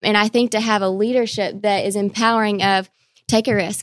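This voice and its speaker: A woman speaks at a fairly quick pace in an ordinary speaking voice, her fairly high pitch carried on fairly even intonation, with dry, close sound and no echo. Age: 20s. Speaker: university marketing director. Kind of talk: casual chat.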